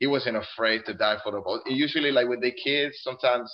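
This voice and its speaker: A man with a Spanish accent, medium-pitched, at a fairly quick pace. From Colombia. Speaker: Air Force service member and soccer parent. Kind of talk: casual interview.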